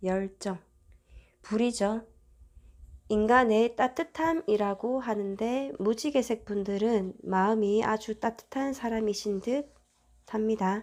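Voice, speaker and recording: Her fairly high voice moves at a very slow pace with long, frequent pauses, calm and gentle in tone, as this woman's pitch varies in an ordinary way. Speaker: tarot reader. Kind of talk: tarot reading video. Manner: calm, gentle.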